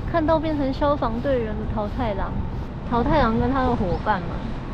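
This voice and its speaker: Ordinary pitch variation carries the speech at a moderate pace. Loud background noise sits in a dry sound with no echo. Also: woman. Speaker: travel vlogger. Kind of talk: casual vlog chat. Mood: cheerful, curious. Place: street. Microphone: phone near.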